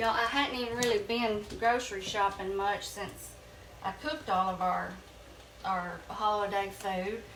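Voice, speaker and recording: A woman with a Southern US accent talks at a moderate pace in a medium pitch with fairly even intonation, amid audible room echo and noticeable background noise. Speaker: home cooking youtuber. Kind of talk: cooking tutorial. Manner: casual, chatty with fillers.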